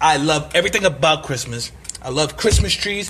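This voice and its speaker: With lively intonation and a fairly high pitch, a man talks at a very fast pace over noticeable background noise. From Brooklyn, New York City. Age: 30s. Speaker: podcaster. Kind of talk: casual monologue. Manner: animated.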